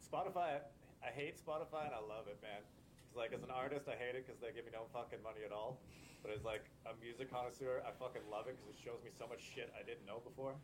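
Speaking with a Canadian accent, a man delivers his words at a very fast pace. His voice is somewhat breathy, medium in pitch, with ordinary pitch variation. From Alberta, Canada (Lethbridge). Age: 30s. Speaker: punk band bassist. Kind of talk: casual chat.

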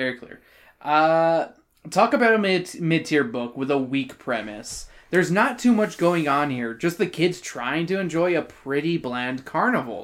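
In a very clean recording with a silent background, a man with a fairly high pitch speaks at a fairly slow pace, his pitch swinging very widely. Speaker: podcast host. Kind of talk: casual chat. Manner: animated.

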